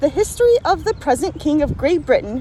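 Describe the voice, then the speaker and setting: An American accent comes through over noticeable background noise. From US Midwest. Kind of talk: casual reading of a founding document outdoors with commentary. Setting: outdoors.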